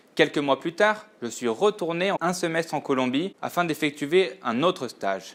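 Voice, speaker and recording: A man with a Latin American accent, in a very clean recording with a silent background. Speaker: purchasing buyer. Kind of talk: scripted narration. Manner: formal.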